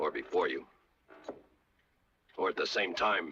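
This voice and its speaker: A man's raspy, put-on character voice, extremely high in pitch, calm in tone, at a moderate pace. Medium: short film. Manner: measured, dry, calm.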